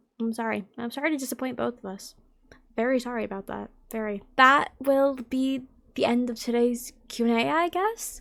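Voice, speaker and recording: This woman speaks at a moderate pace with a high pitch and ordinary pitch variation. The recording is very clean, with a silent background. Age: 20s. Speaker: content creator and streamer. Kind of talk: casual Q&A vlog. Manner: chatty.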